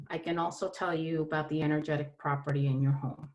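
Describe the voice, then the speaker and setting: A woman with a New York accent speaks at a very deep, low pitch. Her pace is moderate and her intonation fairly even. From New York City (Brooklyn). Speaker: holistic therapist. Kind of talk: presentation.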